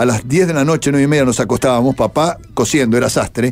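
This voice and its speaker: A man speaks with a Uruguayan accent at a medium pitch and a very fast pace. His intonation is lively, and music plays in the background. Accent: Rioplatense Spanish (Uruguayan). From Uruguay, Montevideo. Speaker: radio broadcaster. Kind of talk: interview.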